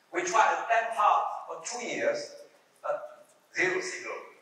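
Strong room echo surrounds a man's high, bright, sharp voice as he speaks at a fairly slow pace with ordinary pitch variation.

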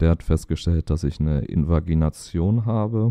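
The voice has a dark, mellow tone and fairly even intonation at a fairly slow pace. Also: man. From Hannover, northern Germany. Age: 20s. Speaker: Crohn's patient and young doctor. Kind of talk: personal testimony in interview. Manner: hesitant, many filler sounds.

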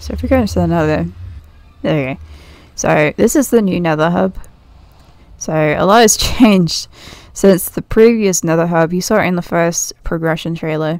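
Relaxed tone from a woman with a British accent, moderate pace broken by long, frequent pauses. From Britain. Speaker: gaming YouTuber, Minecraft server builder. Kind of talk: casual gameplay walkthrough commentary. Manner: relaxed, chatty with frequent laughs.

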